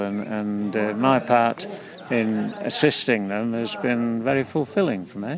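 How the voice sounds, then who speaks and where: Through noticeable background noise comes a man's voice at medium pitch with ordinary pitch variation. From England, Leicestershire. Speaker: farm management consultant. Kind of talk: interview. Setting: outdoors at a field day. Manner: halting.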